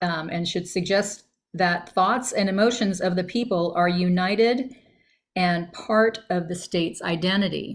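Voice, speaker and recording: In an American accent, the speaker goes at a fairly slow pace with ordinary pitch variation, on a very clean recording with a silent background. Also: woman, medium pitch for a woman. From US Mid-Atlantic (Northern Virginia). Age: 60s. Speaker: astrologer. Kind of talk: casual explanatory talk over screen share. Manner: halting, many fillers.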